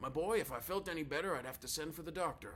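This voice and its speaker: Here is a raspy, put-on character voice. It races along at a very fast pace. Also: man. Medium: read story. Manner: formal, lecturing.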